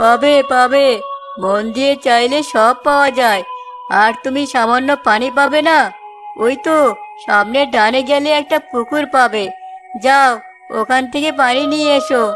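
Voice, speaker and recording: Over clear background music, a female-sounding cartoonish character voice talks fairly slowly at a high pitch. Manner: commanding, wise-sounding.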